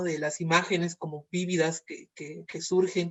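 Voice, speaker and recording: High male voice with a Mexican accent, monotone and flat in intonation. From Mexico, Veracruz. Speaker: moderator. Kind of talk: interview. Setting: video call. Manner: halting.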